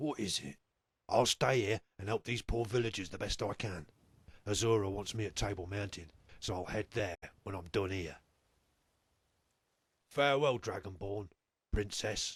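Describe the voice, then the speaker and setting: In a put-on character voice, a man speaks raspy and fairly low at a moderate pace, leaving long, frequent pauses. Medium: video game. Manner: measured, authoritative.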